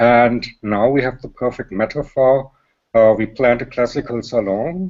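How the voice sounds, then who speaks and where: A man with a German accent at a moderate pace. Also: medium pitch for a man, ordinary pitch variation. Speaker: panel guest. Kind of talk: panel discussion. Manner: halting.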